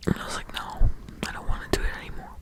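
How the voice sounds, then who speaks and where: A woman is whispering. Noticeable background noise fills the recording. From Netherlands. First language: Dutch. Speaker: podcaster. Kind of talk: ASMR ramble. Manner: halting.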